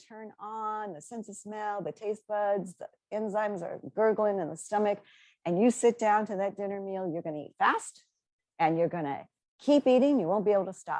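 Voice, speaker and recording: This woman has an ordinary speaking voice at a medium pitch, with ordinary pitch variation. She talks at a moderate pace, and her loudness swings widely. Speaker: dietitian nutritionist. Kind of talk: webinar presentation.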